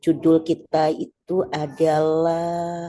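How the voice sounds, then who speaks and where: A soft-spoken woman talks with a very deep, low pitch. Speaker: event organizer. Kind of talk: meeting announcement. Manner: halting.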